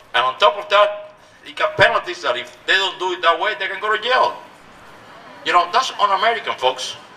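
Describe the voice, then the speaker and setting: A man with a Cuban accent speaks in a raised, projected voice at a fairly quick pace, his high pitch moving in lively intonation with big swings in loudness. Noticeable background noise is present. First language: Spanish. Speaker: politician. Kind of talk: rally speech. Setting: outdoors. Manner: animated; halting.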